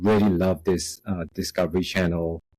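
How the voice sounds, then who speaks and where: With a Singaporean accent, a man speaks at a moderate pace in a very deep, low pitch. Music plays in the background. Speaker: software quality director. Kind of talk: podcast interview. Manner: many filler words, halting.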